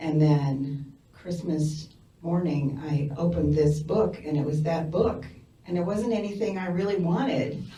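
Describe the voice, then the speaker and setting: Very deep and low in pitch, a woman with an American accent talks at a fairly slow pace with ordinary pitch variation, and audible room echo can be heard. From US Midwest, Lincoln, Nebraska. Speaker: community member sharing memories. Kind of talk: personal storytelling. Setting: community event with audience.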